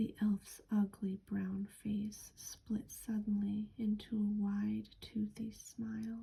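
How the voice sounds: Natural voice, reading aloud.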